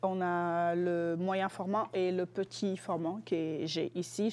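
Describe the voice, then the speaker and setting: A fairly low-pitched woman's voice with fairly even intonation. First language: Lingala (speaking French). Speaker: student guest presenting a cultural object. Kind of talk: casual interview. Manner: hesitant, many fillers.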